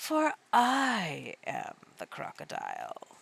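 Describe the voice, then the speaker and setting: Putting on a character voice, a woman speaks at an extremely high pitch with very wide pitch swings and a very slow pace. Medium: read story. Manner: sly, coaxing.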